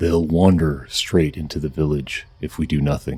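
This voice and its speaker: It's a put-on character voice with an intense tone. The pace is moderate. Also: man, very deep, low pitch for a man, fairly even intonation. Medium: solo performance. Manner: hushed, intense.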